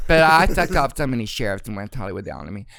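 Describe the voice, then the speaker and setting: This man has an American accent and a medium pitch. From Arkansas, US South. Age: 60s. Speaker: retired celebrity hairstylist. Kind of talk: casual chat. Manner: animated.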